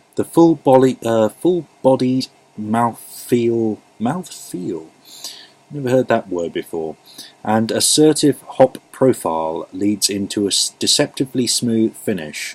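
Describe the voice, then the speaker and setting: Speaking at a fairly slow pace, a man with a medium pitch makes very wide pitch swings, recorded with a dry, close sound without echo and with noticeable background noise. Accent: English. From England. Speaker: beer reviewer. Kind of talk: casual product review. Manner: halting, many fillers.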